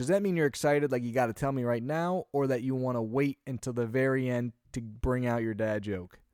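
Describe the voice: A man's clear, smooth, slightly mellow voice at a fairly quick pace, on a very clean recording with a silent background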